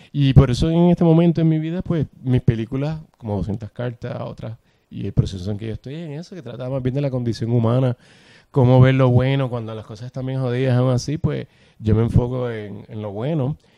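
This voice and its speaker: In a Puerto Rican accent, a man with a medium pitch and a dark, mellow tone speaks with big swings in loudness, the sound dry and close with no echo. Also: ordinary pitch variation, fairly quick pace. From Puerto Rico. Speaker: actor and film director. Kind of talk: interview conversation.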